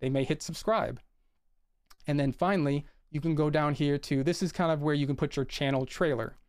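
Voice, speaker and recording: In a very clean recording with a silent background, a man with a fairly high pitch talks at a fairly quick pace using fairly even intonation. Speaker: YouTube creator and IT project manager giving a talk. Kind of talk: presentation with screen share. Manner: fast.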